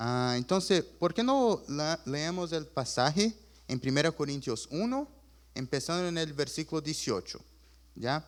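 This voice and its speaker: On a very clean recording with a silent background, a man with a fairly high voice speaks with lively intonation. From Chile. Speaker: preacher. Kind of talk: sermon.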